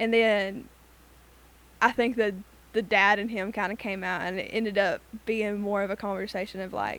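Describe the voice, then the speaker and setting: Animated in tone, a woman with a fairly high pitch speaks with an Alabama accent. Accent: Southern American (Alabama). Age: 20s. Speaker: university student. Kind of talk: casual chat.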